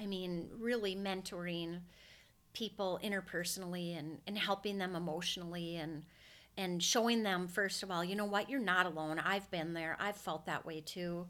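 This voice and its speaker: With a Minnesota accent, the voice moves at a moderate pace in a bright, sharp tone with fairly even intonation. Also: woman, medium pitch for a woman. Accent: Minnesota accent, noticeable. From Minnesota (Brainerd). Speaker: hair stylist and salon recruiter/trainer. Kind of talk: interview conversation.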